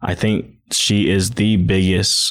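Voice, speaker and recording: A man with a very deep, low pitch speaks with fairly even intonation. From Hawaii. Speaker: hip-hop dancer and studio owner. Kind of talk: casual interview chat. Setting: studio.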